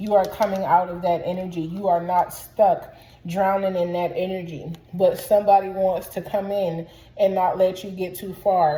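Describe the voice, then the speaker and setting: A woman with a medium pitch and a dark, mellow tone talks at a moderate pace, sounding somewhat breathy, with monotone, flat intonation. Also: big swings in loudness. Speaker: tarot reader. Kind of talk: tarot reading to camera. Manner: casual, chatty.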